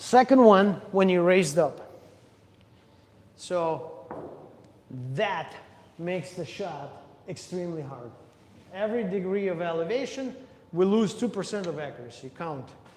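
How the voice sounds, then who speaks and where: There is audible room echo around a man's voice. He has a high pitch and lively intonation. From Russia. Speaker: pool player streaming practice. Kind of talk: live-streamed practice tutorial. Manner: casual, thinking aloud while playing.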